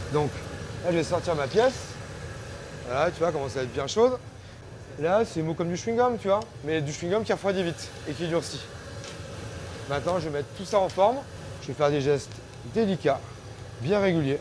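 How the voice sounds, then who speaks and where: Over noticeable background noise, a man talks with a high pitch and lively intonation. He leaves long, frequent pauses. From Auvergne, France. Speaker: glassblower. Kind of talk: casual chat. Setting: hot workshop with furnace and fans. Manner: hesitant.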